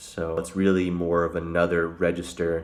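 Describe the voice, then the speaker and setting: A man's very deep, low voice stays in a monotone, flat intonation. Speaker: singer and vocal coach; vocal coach. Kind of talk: tutorial. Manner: casual, filler-heavy. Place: home room. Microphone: phone near.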